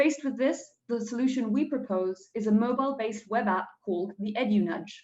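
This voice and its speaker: A woman speaks in a fairly high pitch with ordinary pitch variation. Her voice is somewhat breathy. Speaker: student team pitch presenter. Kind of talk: pitch presentation. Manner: fast.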